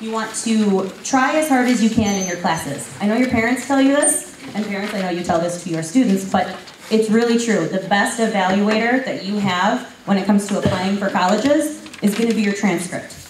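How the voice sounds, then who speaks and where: In a room with audible echo and noticeable background noise, a woman talks fairly quickly at a medium pitch with ordinary pitch variation. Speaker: school counselor. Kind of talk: presentation to parents and students. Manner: fast.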